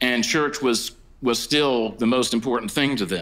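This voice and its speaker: Against a quiet background, this man's voice shows ordinary pitch variation. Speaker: conference speaker. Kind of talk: lecture. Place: hall. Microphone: podium.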